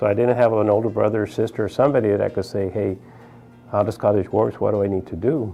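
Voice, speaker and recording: A man's fairly low voice with an American accent at a very fast pace, fairly even in intonation, with music in the background. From South Texas, Brownsville. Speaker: physician. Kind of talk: interview testimony.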